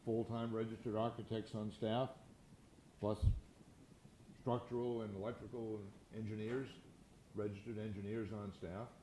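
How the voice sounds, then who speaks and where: In a room with audible echo, a dark, mellow voice speaks at a moderate pace with monotone, flat intonation and long, frequent pauses. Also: man, medium pitch for a man. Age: 80s+. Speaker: real estate entrepreneur and philanthropist. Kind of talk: fireside chat interview. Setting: stage with audience. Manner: halting, frequent repetitions.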